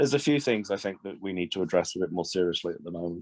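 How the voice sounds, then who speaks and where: A man talks with an English accent. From England, Swindon. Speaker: shop owner. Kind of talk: casual chat.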